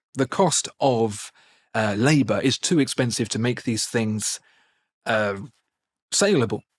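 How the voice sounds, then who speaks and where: A man with a British accent speaks in a dry, close recording with no echo. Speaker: watch video presenter and voiceover artist. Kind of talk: interview answer, spontaneous storytelling.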